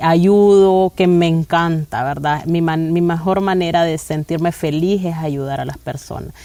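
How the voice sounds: At a fairly slow pace, a woman speaks with a fairly low pitch, a dark, mellow tone and ordinary pitch variation.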